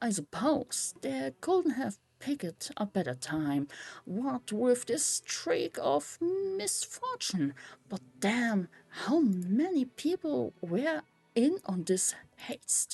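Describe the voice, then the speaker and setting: Using a put-on character voice, a woman drawls at a very slow pace and fairly high pitch with very wide pitch swings, in a dry, close sound with no echo. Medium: game stream. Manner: slangy, drawling.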